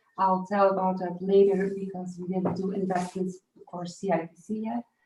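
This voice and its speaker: Monotone, flat delivery at a moderate pace. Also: woman. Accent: Dutch. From Flanders, Belgium. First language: Dutch. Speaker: farmer. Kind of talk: panel introduction. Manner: halting.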